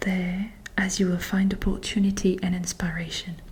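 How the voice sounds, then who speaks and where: The voice is soft-spoken. The pace is fairly slow. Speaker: ASMR content creator. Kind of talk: ASMR oracle card reading. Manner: soft-spoken, slow.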